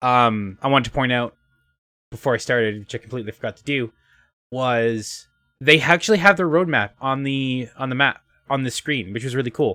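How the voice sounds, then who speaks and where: A man with a medium pitch speaks loudly at a moderate pace, bright and sharp in tone with ordinary pitch variation, on a very clean recording with a silent background and a dry, close sound with no echo. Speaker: video game streamer. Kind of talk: casual game stream commentary. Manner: halting, filler words.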